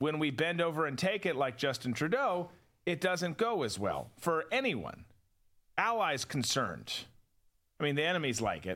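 Bright, sharp tone with vocal fry and very wide pitch swings, long, frequent pauses, on a very clean recording over a silent background. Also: man, fairly high pitch for a man, moderate pace. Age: 40s. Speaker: podcast host and former counterterrorism officer. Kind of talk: casual political commentary show. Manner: conversational, with frequent repetitions and stumbles.

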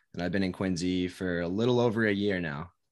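An American accent with ordinary pitch variation. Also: man. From US Northeast (Connecticut). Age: 20s. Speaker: fitness content creator. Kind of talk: casual chat.

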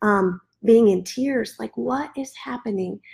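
A somewhat breathy voice in an American accent at a fairly slow pace, on a very clean recording with a silent background. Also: woman. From US Midwest. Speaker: ministry leader. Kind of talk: testimony. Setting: livestreamed podcast.

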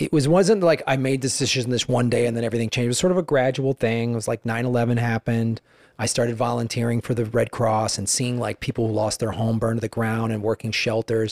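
A man with an American accent talks at a very fast pace with hardly any pauses and fairly even intonation, the sound dry and close with no echo. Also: medium pitch for a man. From Chicago area, US Midwest. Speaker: stand-up comedian. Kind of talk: casual interview.

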